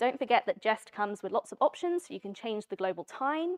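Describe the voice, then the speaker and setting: A woman's voice swings very widely in pitch. The sound is dry and close, with no echo. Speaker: conference speaker, software developer. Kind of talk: tech talk with live demo. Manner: fast.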